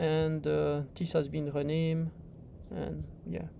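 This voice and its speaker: Someone speaks very slowly with a French accent. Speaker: software developer presenting livestream tutorial. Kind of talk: livestream tutorial. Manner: casual, hesitant with fillers.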